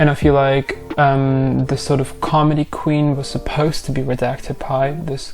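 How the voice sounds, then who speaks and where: A woman speaks with a non-native accent at a very deep, low pitch. Noticeable background noise runs behind her. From Europe. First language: not English. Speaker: YouTube commentator. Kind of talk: casual commentary video. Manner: animated.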